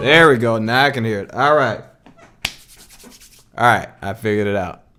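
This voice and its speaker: A man speaks at a moderate pace with a medium pitch and ordinary pitch variation. Music plays in the background. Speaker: music producer streamer. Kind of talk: casual live stream chat. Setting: live stream.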